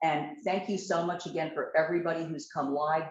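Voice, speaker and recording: A woman speaks at a moderate pace. Her pitch is fairly low. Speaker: college administrator. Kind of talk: welcome remarks. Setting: hybrid meeting in person and on video call. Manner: loud. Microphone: no microphone.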